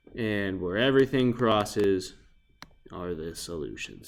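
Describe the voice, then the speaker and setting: On a very clean recording with a silent background, a man with an unremarkable speaking voice talks at a moderate pace with lively intonation. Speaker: math teacher. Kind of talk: recorded lesson tutorial. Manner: casual.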